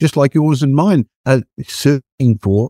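The man's voice sits at medium pitch with a dark, mellow tone, captured dry and close with no echo. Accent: Australian. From Australia. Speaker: property investment advisor. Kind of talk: casual chat.

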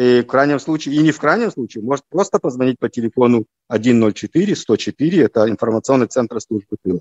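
A man talks at medium pitch and a moderate pace, with ordinary pitch variation. The sound is dry and close, with no echo. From Israel (Haifa), born in Lviv, Ukraine. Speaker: army colonel. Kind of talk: interview. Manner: halting.

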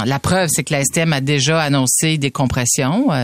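Delivery is fairly slow. The pitch moves in an ordinary way. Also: woman. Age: 50s. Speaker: radio host. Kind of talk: radio commentary.

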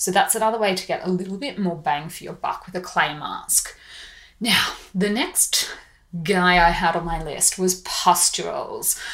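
At a moderate pace, a woman with an Australian accent speaks at a medium pitch with ordinary pitch variation. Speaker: beauty podcast host. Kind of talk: scripted-style podcast monologue.

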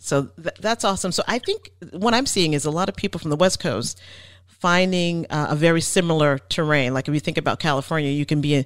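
A woman with a New Jersey accent speaks at a fairly quick pace in a very deep, low pitch with ordinary pitch variation. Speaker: real estate podcast host. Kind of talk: interview. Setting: remote call.

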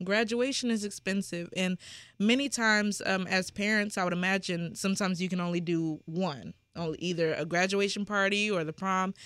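On a very clean recording with a silent background, a woman with a normal speaking voice and medium pitch talks at a fairly quick pace with fairly even intonation. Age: 20s. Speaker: nonprofit founder. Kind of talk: interview.

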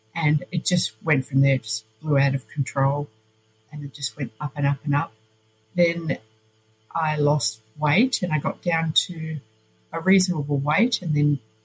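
In an Australian accent, a woman speaks fairly slowly with a very deep, low, somewhat breathy voice, recorded with a dry, close sound and no echo. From Australia, Melbourne. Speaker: nurse. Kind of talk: interview.

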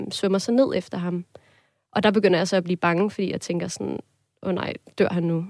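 A woman's normal speaking voice, fairly quick, with fairly even intonation. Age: 20s. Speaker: student, listener sharing a dream. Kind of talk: casual interview conversation. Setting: studio.

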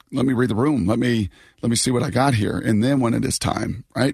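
With a dry, close sound and no echo, a man speaks very fast at a medium pitch, his voice showing vocal fry. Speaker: sports radio host. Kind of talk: casual chat. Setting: remote from hotel.

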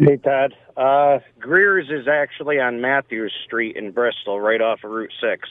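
An ordinary speaking voice from a man with an American accent, medium pitch and ordinary pitch variation. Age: 40s. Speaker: caller. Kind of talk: call-in conversation. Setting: phone call.

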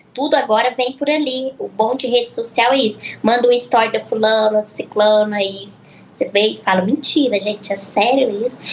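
A woman with an unremarkable speaking voice talks at a moderate pace. Her pitch is fairly high, and her intonation is fairly even. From Minas Gerais (Araxá), Brazil. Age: 20s. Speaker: influencer and psychologist. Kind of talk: casual chat.

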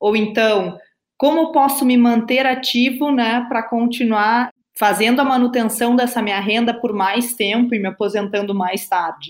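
Speaking at a fairly slow pace with a southern Brazilian accent, the voice keeps a fairly even intonation. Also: woman, fairly high pitch for a woman. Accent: gaúcho Brazilian Portuguese. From southern Brazil, Rio Grande do Sul. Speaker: business consultant. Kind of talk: interview.

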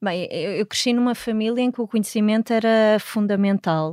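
A woman with an unremarkable speaking voice talks at a moderate pace with fairly even intonation, recorded dry and close with no echo, very clean against a silent background. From Portugal. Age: 40s. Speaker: astrobiologist and professor. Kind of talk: interview.

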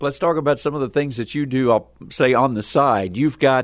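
A man with a normal speaking voice talks fairly quickly at a medium pitch, with ordinary pitch variation. The recording is very clean, with a silent background. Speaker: farm radio podcast host. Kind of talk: host intro and interview.

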